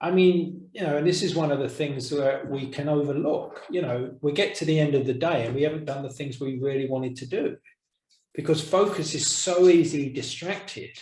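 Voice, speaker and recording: Somewhat breathy and fairly high-pitched, a man talks at a fairly quick pace with ordinary pitch variation. Audible room echo surrounds his voice. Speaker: course teacher. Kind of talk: online course discussion. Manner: soft-spoken.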